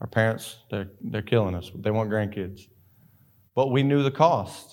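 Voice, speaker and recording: Speaking with a Southern US accent, a man keeps a moderate pace. His pitch is fairly low and varies in an ordinary way. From North Carolina (Sanford). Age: 20s. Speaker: missionary. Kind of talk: sermon. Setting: church.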